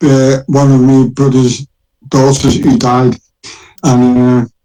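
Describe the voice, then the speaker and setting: His intonation is fairly even. The man talks at a moderate pace. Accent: Liverpool. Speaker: former prisoner claiming innocence. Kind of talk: interview. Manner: halting.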